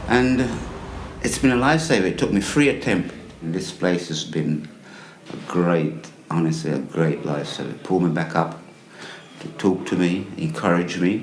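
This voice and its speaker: A man's very deep, low voice in an English accent, lively intonation at a moderate pace with long, frequent pauses, audible room echo and noticeable background noise. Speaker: homeless man. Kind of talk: testimony. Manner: halting.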